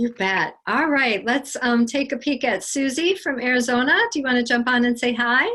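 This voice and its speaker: The tone is bright and sharp, with hardly any pauses. Loudness stays very even, and pitch varies in an ordinary way. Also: woman, high pitch for a woman, moderate pace. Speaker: spiritual teacher and psychic medium. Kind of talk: online group meditation session, casual Q&A.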